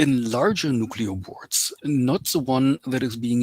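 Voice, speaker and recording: Recorded very cleanly with a silent background, the sound is dry and close with no echo. A man speaks at a moderate pace with a medium pitch. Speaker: engineer lecturer. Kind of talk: lecture. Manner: halting, many fillers.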